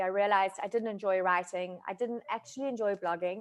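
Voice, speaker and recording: A woman with a South African accent talks at a moderate pace, her pitch medium with ordinary variation. The background is quiet. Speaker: food photographer. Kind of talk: online masterclass talk. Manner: casual, hesitant with many fillers.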